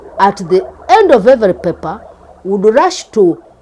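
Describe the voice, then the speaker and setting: The speech moves fairly slowly, and noticeable background noise is present. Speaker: former teacher. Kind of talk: interview answer.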